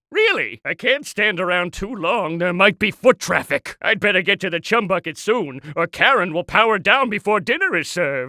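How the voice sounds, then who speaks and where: A man's put-on character voice, high-pitched, raised and projected, cackling at a moderate pace with hardly any pauses. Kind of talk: cartoon villain comic overacting. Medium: video game. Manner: impatient, sarcastic, evil cackling.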